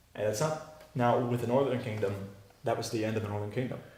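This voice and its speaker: A man speaks at a medium pitch. The room echo is audible. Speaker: Bible teacher. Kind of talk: teaching a class with discussion. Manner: fast.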